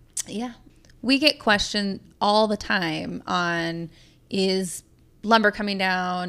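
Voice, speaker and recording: A woman with a bright, sharp tone and medium pitch, at a very slow pace, in a very clean recording with a silent background. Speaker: podcast host and custom home builder. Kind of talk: casual interview chat. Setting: studio.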